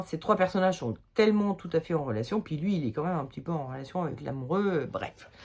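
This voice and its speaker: A woman's voice, medium in pitch with a dark, mellow tone, swings very widely up and down. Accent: Limoges. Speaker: tarot reader. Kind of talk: tarot reading video. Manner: hesitant, casual with fillers.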